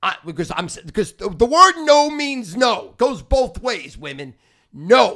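A man speaks in a raised, projected, animated voice at a high pitch and a moderate pace. His tone is bright and sharp, and the recording is very clean with a silent background. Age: 60s. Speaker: podcast host and sports gambler. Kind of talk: casual chat.

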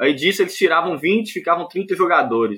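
A man's high voice with ordinary pitch variation at a fairly quick pace. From Montes Claros, northern Minas Gerais, Brazil. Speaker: handball player and physical education student. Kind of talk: casual interview.

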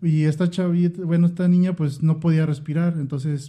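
Fairly quick speech with a dark, mellow tone and a Mexican accent. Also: man. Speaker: podcast co-host. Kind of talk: casual chat.

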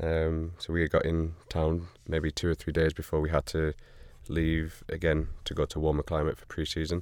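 A man's very deep, low voice with an American accent at a moderate pace, in a very clean recording with a silent background. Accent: northern English with slight American twang. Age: 30s. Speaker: professional soccer player. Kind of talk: casual chat. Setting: studio.

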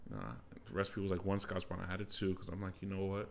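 Vocal fry in an American accent. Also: man. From United States. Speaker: podcast host. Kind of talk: casual chat. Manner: animated.

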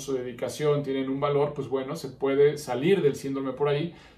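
Audible room echo surrounds a man talking at a fairly quick pace. His voice is somewhat breathy, with monotone, flat intonation. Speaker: psychologist and podcast host. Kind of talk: solo podcast monologue. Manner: frequent filler hesitations.

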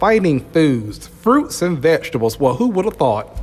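With music in the background, a man speaks at a high pitch that swings very widely. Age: 40s. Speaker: podcast host. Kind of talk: solo monologue. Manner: animated.

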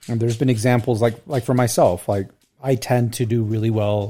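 Somewhat breathy and dark, mellow in tone, a man speaks at a fairly quick pace with fairly even intonation. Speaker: guest co-host. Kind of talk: casual chat.

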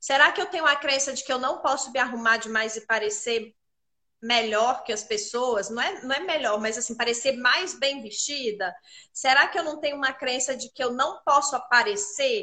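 A woman speaks at a high pitch in a raised, projected voice with a bright, sharp tone. Her intonation is lively and her pace moderate. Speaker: image consultant hosting a live chat. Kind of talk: live online chat. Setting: live stream.

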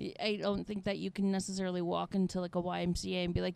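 A woman talks at a very fast pace. Her pitch sits in the medium range. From Indiana. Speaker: podcast host. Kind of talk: casual chat. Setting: airport terminal. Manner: laughs often.

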